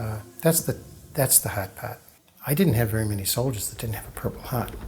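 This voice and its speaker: Amid noticeable background noise, a man with an American accent speaks at medium pitch, his loudness swinging widely. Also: ordinary pitch variation, fairly quick pace. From Massachusetts, Boston area. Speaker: war veteran. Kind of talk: testimony. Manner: halting.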